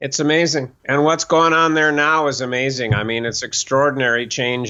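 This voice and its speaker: A man with a plain, everyday voice talks at a moderate pace, his pitch varying in an ordinary way. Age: 60s. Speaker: author and self-help teacher. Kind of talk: casual interview.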